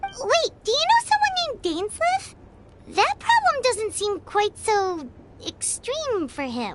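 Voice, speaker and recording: A woman's put-on, squeaky character voice, extremely high in pitch with very wide pitch swings, at a fairly slow pace over music in the background. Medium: video game. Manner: casual, curious.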